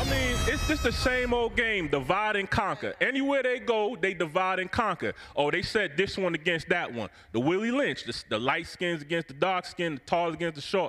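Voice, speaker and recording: A man speaks in a raised, projected voice at a high pitch with very wide pitch swings and a moderate pace. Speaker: audience member. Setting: stage with live audience.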